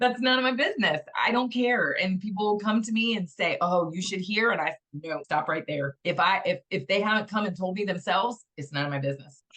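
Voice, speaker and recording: Animated and with hardly any pauses, a woman talks at a fairly quick pace and medium pitch with lively intonation. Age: 50s. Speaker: interviewee sharing weight loss story. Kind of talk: interview testimony.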